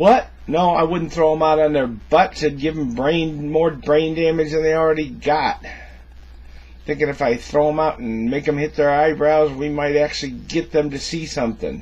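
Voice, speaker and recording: A man speaks in a somewhat breathy voice with fairly even intonation. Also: moderate pace. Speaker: cigar vlogger. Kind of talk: casual vlog chat. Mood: joking, teasing. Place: office. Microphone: webcam.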